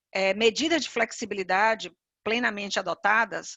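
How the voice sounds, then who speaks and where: At a moderate pace, a woman with a Bahian accent speaks in a fairly high pitch with ordinary pitch variation. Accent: Bahian Brazilian Portuguese. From Bahia, Brazil (Salvador). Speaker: HR executive, panelist. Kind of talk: webinar presentation.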